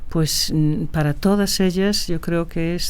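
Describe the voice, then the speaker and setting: A woman's fairly low voice with fairly even intonation, plus audible room echo. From Galicia, Spain (Ferrol). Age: 60s. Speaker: film producer and director. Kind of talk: interview conversation. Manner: hesitant, with frequent fillers and repetitions.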